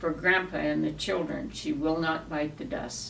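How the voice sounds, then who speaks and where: There is noticeable background noise as a woman with a fairly low pitch talks at a fairly slow pace. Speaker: cowboy poet. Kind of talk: poetry reading.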